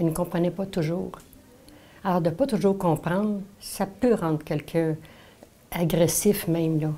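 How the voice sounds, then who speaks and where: Fairly low female voice, dark and mellow, with ordinary pitch variation and long, frequent pauses. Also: fairly slow pace. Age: 70s. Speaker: senior sharing memories. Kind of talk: personal reminiscence.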